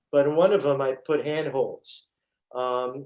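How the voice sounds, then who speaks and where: In a New York accent, a man talks at a fairly high pitch. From New York (Brooklyn). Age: 60s. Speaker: stuntman and actor. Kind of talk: interview storytelling. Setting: podcast.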